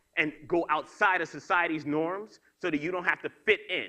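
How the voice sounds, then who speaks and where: A high-pitched man with a New York accent speaks in a bright, sharp and energetic tone. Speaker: motivational speaker. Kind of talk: keynote speech. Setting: stage with audience. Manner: fast.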